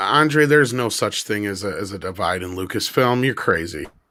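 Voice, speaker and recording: A man does a put-on character voice, raspy and medium in pitch. His intonation is lively and his pace moderate. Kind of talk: mocking, deliberately insincere. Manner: sarcastic.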